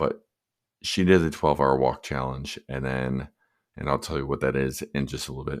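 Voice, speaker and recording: A man with a very deep, low pitch, vocal fry and an American accent. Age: 40s. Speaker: podcast host. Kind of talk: solo podcast monologue. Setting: home at night, others asleep. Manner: softer than normal.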